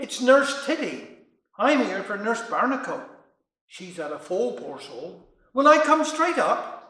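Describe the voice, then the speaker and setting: In a put-on character voice, a man speaks with an extremely high, shrill pitch at a fairly slow pace, with slight echo. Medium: solo performance. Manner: chirpy.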